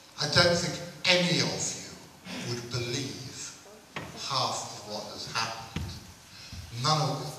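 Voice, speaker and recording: A man at medium pitch talks at a fairly slow pace with lively intonation and long, frequent pauses. Strong room echo and noticeable background noise fill the recording. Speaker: event organiser and compere. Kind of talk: stage introduction, humorous anecdotes. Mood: wry, humorous storytelling. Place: hall.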